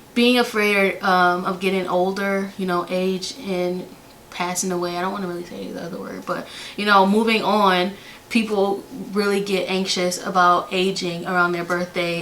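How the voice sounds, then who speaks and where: Noticeable background noise sits behind a woman speaking at a medium pitch and a moderate pace in a monotone, flat intonation. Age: 20s. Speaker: flight attendant. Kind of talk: casual talk to camera.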